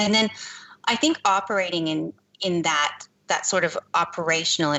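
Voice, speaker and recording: A woman with a normal speaking voice, ordinary pitch variation and a moderate pace. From Canada. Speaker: privacy consultant. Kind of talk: interview.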